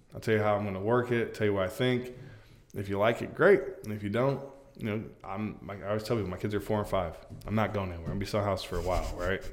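A man with a fairly low pitch talks very fast in a fairly even intonation, with audible room echo. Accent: American. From Florida, Polk County. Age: 30s. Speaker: real estate agent. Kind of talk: casual interview. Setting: studio.

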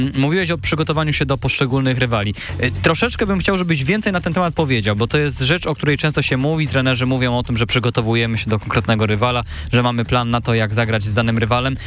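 Despite noticeable background noise, a man talks at a very fast pace with lively intonation and very even loudness. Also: medium pitch for a man, hardly any pauses. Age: 20s. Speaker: student radio host. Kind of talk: radio interview. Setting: radio studio.

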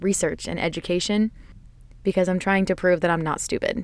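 An unremarkable speaking voice from a woman, medium in pitch with fairly even intonation. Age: 20s. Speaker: solo podcast host. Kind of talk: casual monologue.

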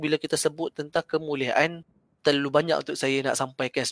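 A man's fairly high voice with a Malaysian accent, a very fast pace and monotone, flat intonation, in a dry, close sound with no echo. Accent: Malaysian Malay. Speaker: Islamic teacher (ustaz). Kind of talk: religious discussion on a podcast livestream. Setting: online livestream call.

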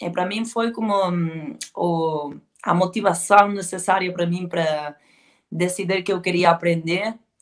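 Fairly slow speech from a woman in a medium pitch. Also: fairly even intonation. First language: Spanish or Galician (speaking Portuguese). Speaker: heavy metal band vocalist. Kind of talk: interview. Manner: halting.

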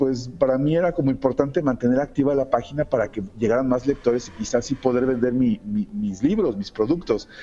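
At a moderate pace with hardly any pauses, a man speaks at a medium pitch with ordinary pitch variation. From Mexico. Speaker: comic artist. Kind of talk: interview. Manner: hesitant, many fillers.

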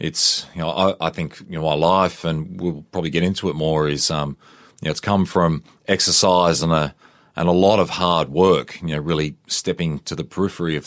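This man talks at a fairly quick pace with a very deep, low pitch and flat, monotone intonation in an Australian accent. The recording is very clean, with a silent background. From Queensland, Australia. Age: 40s. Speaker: army veteran and fitness trainer. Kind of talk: interview. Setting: studio.

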